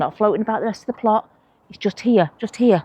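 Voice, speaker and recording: This woman has a Manchester accent and a medium pitch, recorded with a dry, close sound and no echo. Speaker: allotment vlogger. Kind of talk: casual vlog talk to camera. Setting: outdoors at allotment plot. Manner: chatty, conversational.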